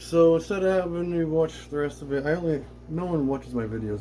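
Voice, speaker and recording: A man mumbles. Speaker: aquarium hobbyist vlogger. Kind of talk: casual tutorial. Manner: mumbling.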